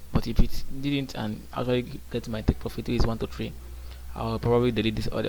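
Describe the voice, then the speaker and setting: With noticeable background noise around him, a man speaks fairly quickly. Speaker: day trader. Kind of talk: casual trading vlog commentary. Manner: halting, with repetitions.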